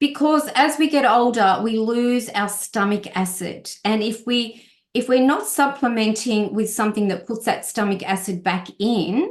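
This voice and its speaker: Fairly high-pitched woman with an Australian accent, fairly slow yet with hardly any pauses, and ordinary pitch variation. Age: 60s. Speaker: health and wellness guest speaker. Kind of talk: online presentation. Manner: halting, many fillers.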